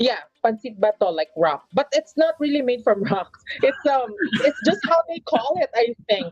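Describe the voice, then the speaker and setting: Speaking with a Filipino accent at a moderate pace, a woman uses a high pitch with very wide pitch swings, in a dry, close sound with no echo. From Philippines, Manila. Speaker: LGBTQ advocate. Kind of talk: casual interview.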